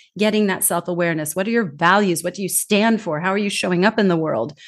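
Talking at a very fast pace against a quiet background, a woman with a Californian accent uses a fairly low pitch and ordinary pitch variation. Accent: Californian American English. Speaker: global communication trainer. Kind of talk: casual chat. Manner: animated.

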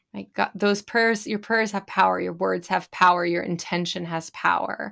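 At a fairly slow pace, an ordinary speaking voice with an American accent comes through a very clean recording with a silent background. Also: woman. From California. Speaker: spiritual business coach. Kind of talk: casual interview chat.

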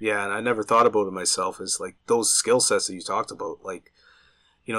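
A man speaks with a Nova Scotia accent. His pace is fairly quick. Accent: rural local Nova Scotia. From rural Nova Scotia. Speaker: podcast co-host. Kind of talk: casual interview chat.

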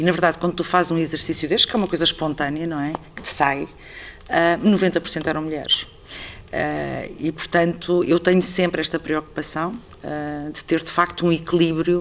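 Over noticeable background noise, a woman with a fairly low voice talks at a moderate pace in a monotone, flat manner. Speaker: artistic director of a theatre. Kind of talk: interview conversation.

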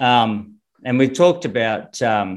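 Ordinary pitch variation in an Australian accent, on a very clean recording with a silent background. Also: man. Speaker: swimming coach. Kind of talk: interview.

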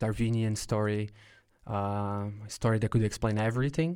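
In a very clean recording with a silent background, a man with a Brazilian accent speaks at a fairly slow pace in a fairly low voice with ordinary pitch variation. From São Paulo, Brazil. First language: Portuguese. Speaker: podcast host, researcher. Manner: hesitant, filler-heavy.

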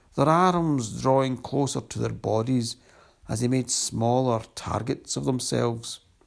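Pitch shifts in an ordinary way. It is plain reading aloud.

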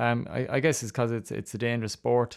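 With an Irish accent and a medium pitch, the man talks at a fairly quick pace on a very clean recording with a silent background. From Ireland. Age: 30s. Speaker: jump jockey. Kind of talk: interview. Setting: studio. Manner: halting, with frequent fillers.

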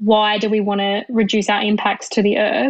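Fairly even in intonation, a woman's voice sits at a fairly high pitch. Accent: Australian. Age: 20s. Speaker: civil engineer. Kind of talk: interview.

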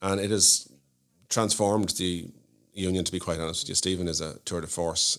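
The speaker has a Dublin accent and moves at a fairly quick pace. The intonation is monotone and flat. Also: man, very deep, low pitch for a man. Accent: Dublin Irish. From Ireland, Malahide (north County Dublin). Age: 40s. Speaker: solicitor. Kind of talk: casual interview chat. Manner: hesitant, many fillers and repeats.

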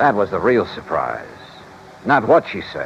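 A man's low, put-on character voice with big pitch swings, a fairly slow pace and vocal fry, over faint music in the background.

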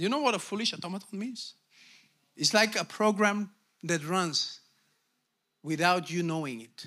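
Pitched high for a man, his raised, projected voice has an animated, bright and sharp tone, lively intonation, big swings in loudness, a moderate pace, and long, frequent pauses. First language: Bulgarian. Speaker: pastor. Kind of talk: sermon. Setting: church.

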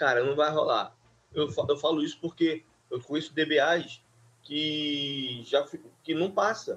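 The man talks at a fairly slow pace with fairly even intonation. His pitch sits fairly high. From Rio de Janeiro, Brazil (Duque de Caxias). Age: 50s. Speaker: database administrator. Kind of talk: interview. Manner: halting, many fillers.

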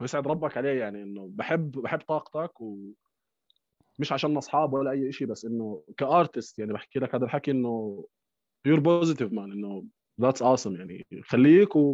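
Recorded with a dry, close sound, no echo and a quiet background, a man at a medium pitch speaks at a moderate pace with big swings in loudness. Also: lively intonation. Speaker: DJ and music producer. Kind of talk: casual chat.

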